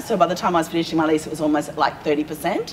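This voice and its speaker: A woman with an Australian accent speaks over light background noise. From Perth, Western Australia; Western Australia. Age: 40s. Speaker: small business owner; guest. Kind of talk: casual interview. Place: hall.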